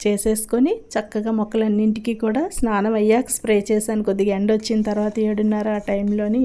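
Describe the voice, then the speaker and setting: Her voice is fairly high for a woman, and its tone is dark and mellow. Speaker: homemaker vlogger. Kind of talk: heartfelt thanks to viewers; vlog voice-over.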